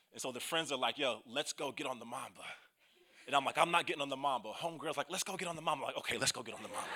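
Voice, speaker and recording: A man speaks very fast with an American accent, his pitch fairly high. His tone is animated, with ordinary pitch variation. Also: big swings in loudness. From US Midwest (Kansas City). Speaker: youth pastor. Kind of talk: sermon.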